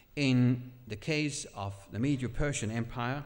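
A man talks with a Danish accent. His pitch varies in an ordinary way. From Denmark. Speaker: pastor and Bible teacher; preacher. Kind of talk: sermon; casual interview. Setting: church camp stage with audience.

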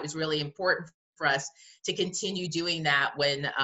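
Against a quiet background, a voice with an American accent moves at a moderate pace with ordinary pitch variation. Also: woman. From US Northeast, New Jersey. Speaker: museum director. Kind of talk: interview. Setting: video call. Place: home room. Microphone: webcam.

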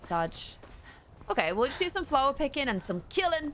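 A woman with a British accent speaks with very wide pitch swings over light background noise. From UK. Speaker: gaming streamer. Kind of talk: live gameplay commentary. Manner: animated. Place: home room.

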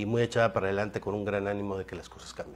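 This is a man's voice. His pitch sits fairly low. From Ciudad Victoria, Tamaulipas, Mexico; Tamaulipas, Mexico. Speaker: political candidate; candidate. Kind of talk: interview. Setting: radio studio. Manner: halting, many fillers and repetitions. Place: studio. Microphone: lapel.

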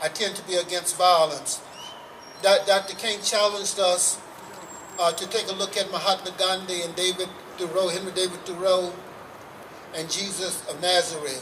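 A man with a high voice speaks at a moderate pace in a flat monotone, leaving long, frequent pauses over noticeable background noise. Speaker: civil rights activist speaker. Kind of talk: rally speech. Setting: stage with audience at a rally. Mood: earnest, calm conviction. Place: street.

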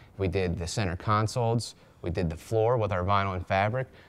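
A man speaks at a fairly quick pace with a very deep, low pitch. His intonation stays fairly even. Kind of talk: interview answer. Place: garage. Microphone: lapel.

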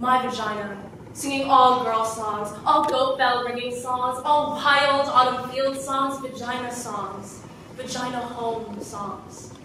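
Over noticeable background noise and strong room echo, a woman speaks very slowly at a high pitch. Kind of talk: dramatic theatrical monologue. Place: stage. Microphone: camera far.

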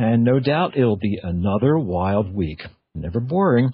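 Somewhat breathy and fairly low in pitch, a man talks at a moderate pace with lively intonation. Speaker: internet radio show host. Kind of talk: radio show opening monologue.

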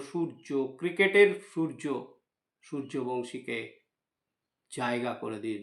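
A man speaks with ordinary pitch variation. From West Bengal, India. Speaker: YouTube news commentator. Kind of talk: opinion commentary monologue. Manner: halting, with frequent pauses.

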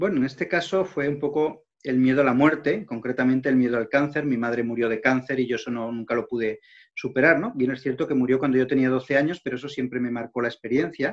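A man with an Aragonese accent speaks very fast, hardly pausing at all. His pitch moves normally over a quiet background. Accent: Spanish from Spain, Aragon. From Spain, Zaragoza; Spain. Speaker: interview guest, journalist. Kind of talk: interview, faith testimony. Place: home room. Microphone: video call.

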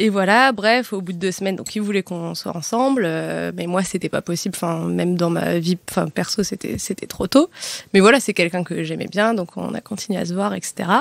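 Recorded dry and close with no echo, a woman speaks at medium pitch and a moderate pace with ordinary pitch variation. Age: 20s. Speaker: podcast guest. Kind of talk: casual chat. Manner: halting, many fillers.

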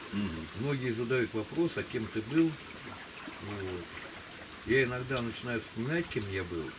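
A man's medium-pitched voice at a very slow pace, with noticeable background noise. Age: 60s. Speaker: interview subject. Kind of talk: casual chat. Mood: calm reflective storytelling. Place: waterside. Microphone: camera far.

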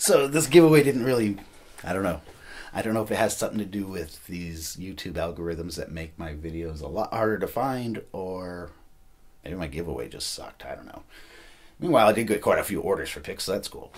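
A man talks at a fairly quick pace with a fairly low pitch. His loudness swings widely. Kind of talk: casual vlog chat. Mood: relaxed, a bit self-mocking. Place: home room. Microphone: camera far.

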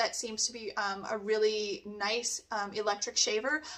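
A woman speaks at a moderate pace with a Canadian accent, her pitch fairly high and her tone bright and sharp. The background is quiet. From Canada. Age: 40s. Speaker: nail technician; beauty product reviewer. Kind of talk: product review. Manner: animated. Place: home room.

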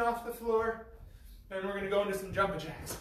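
Amid audible room echo and light background noise, a man speaks at a high pitch with fairly even intonation. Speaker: fitness coach. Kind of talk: workout instruction. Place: gym.

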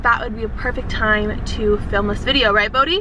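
A woman uses a raised, projected voice at a fairly quick pace with ordinary pitch variation. The sound is dry with no echo, though noticeable background noise is present. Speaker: lifestyle vlogger. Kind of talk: casual vlog chat, food review. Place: car. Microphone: phone near.

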